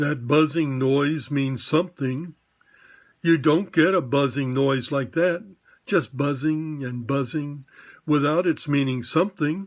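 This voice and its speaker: In a very clean recording with a silent background, a man does a growling put-on character voice at a fairly high pitch and a fairly slow pace. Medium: read story. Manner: slow, simple, earnest.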